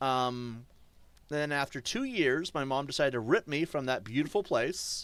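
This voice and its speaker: A man with an American accent uses an ordinary speaking voice, fairly high in pitch with lively intonation. His moderate pace comes through a very clean recording with a silent background. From US, New Hampshire. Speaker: gaming streamer. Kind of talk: live stream commentary. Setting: live stream. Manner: casual, rambling with fillers.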